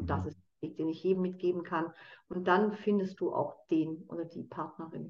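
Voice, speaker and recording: Using an unremarkable speaking voice, a woman at a medium pitch talks at a moderate pace with fairly even intonation. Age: 50s. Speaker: consciousness trainer and addiction coach. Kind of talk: casual interview conversation.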